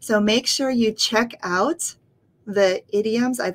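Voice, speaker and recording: Here a woman speaks with an American accent. Her pitch is fairly high and her pace fairly slow. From United States. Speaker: English teacher. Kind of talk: casual teaching talk to camera. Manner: unedited, informal. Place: home room. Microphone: webcam.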